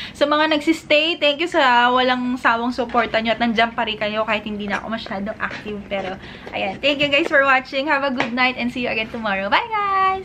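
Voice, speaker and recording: Over noticeable background noise, a woman with a high voice talks at a fairly quick pace with lively intonation and hardly any pauses. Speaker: vlogger and online seller. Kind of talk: casual vlog.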